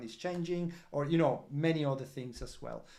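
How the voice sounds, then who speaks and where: In a non-native accent, a man speaks with a dark, mellow tone and fairly even intonation, with audible room echo around him. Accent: non-British, foreign. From Italy. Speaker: crypto project representative. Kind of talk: project update livestream. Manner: halting, many fillers.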